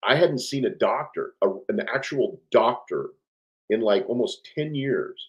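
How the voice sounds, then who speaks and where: A man is speaking. His pace is fairly slow. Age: 60s. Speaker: navy veteran. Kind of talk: interview conversation. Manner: hesitant, many fillers.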